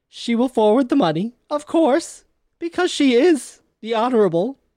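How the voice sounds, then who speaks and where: A woman with a high pitch talks at a very slow pace, her pitch swinging very widely. The sound is dry and close, with no echo. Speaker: player in a tabletop role-playing game. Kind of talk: casual, joking role-play banter.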